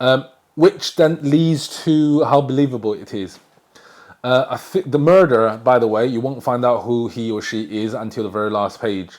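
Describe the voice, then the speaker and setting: A man with a Chinese accent speaks at a moderate pace, his medium pitch showing ordinary variation. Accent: Chinese accent, difficulty with R. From China. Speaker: book reviewer. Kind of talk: book review vlog. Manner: halting, frequent fillers and self-corrections.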